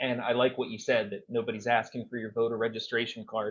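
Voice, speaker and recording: With an American accent, a man speaks at a medium pitch and a fairly quick pace. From southeastern Pennsylvania. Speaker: congressional candidate. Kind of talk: podcast interview.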